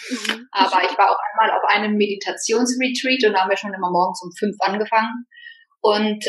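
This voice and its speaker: Speaking at a fairly quick pace, a woman has a plain, everyday voice at medium pitch with ordinary pitch variation. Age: 40s. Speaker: podcast guest, single woman. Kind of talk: casual interview chat.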